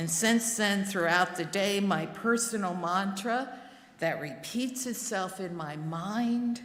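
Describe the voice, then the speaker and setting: Someone with an American accent speaks very slowly with ordinary pitch variation, with noticeable background noise and audible room echo. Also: woman. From New Jersey, Newark. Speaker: lay worship service leader. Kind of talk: sermon.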